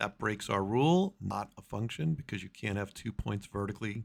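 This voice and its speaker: A man's voice at a fairly quick pace, with ordinary pitch variation. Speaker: math teacher. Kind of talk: tutorial. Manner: fast; casual.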